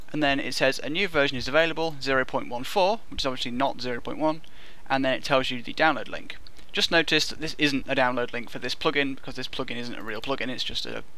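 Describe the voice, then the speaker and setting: A man at a fairly quick pace, ordinary pitch variation, and a dry sound with no echo. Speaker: programming tutorial narrator. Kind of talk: tutorial.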